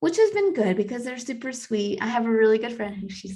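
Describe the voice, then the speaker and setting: Audible room echo surrounds a speaker with an American accent. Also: woman. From United States. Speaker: podcast co-host. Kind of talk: casual chat.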